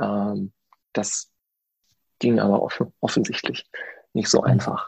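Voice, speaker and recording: The sound here is dry and close, with no echo. A man speaks at a moderate pace. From Germany, Paderborn (Westphalia). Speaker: theme park designer. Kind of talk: interview. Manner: hesitant, many filler sounds.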